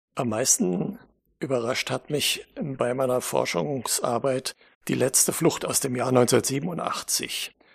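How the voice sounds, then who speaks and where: A man at a very slow pace, medium in pitch, with lively intonation and vocal fry. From western Germany (Hesse, then North Rhine-Westphalia). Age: 70s. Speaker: author and historian, glider pilot. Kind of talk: interview.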